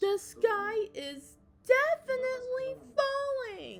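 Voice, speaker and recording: A woman's put-on character voice, extremely high in pitch, at a very slow pace. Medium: read story. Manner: insistent, alarmed.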